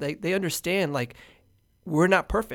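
An unremarkable speaking voice talks at a fairly quick pace with lively intonation. The recording is very clean, with a silent background. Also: man. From Houston, Texas. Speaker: hotel owner and entrepreneur. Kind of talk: casual interview.

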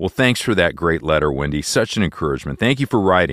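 A man's very deep, low voice with vocal fry, very wide pitch swings and a very fast pace, on a very clean recording with a silent background. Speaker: radio host. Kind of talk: show introduction and reading listener emails.

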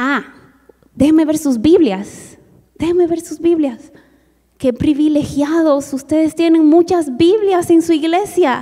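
In a Mongolian accent, a woman speaks at a very slow pace. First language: Mongolian (speaking Spanish). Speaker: missionary. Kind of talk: testimony.

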